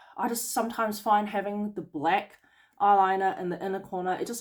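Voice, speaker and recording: An unremarkable speaking voice from a woman, medium in pitch with ordinary pitch variation, at a moderate pace on a very clean recording with a silent background. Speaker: beauty business owner. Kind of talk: tutorial. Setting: home during lockdown.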